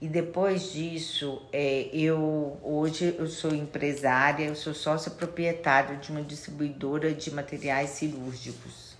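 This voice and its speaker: Very slowly and in a monotone, flat intonation, a woman speaks with a very deep, low pitch. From Minas Gerais, Brazil (Itabira area, Belo Horizonte). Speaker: pharmacist. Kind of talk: interview.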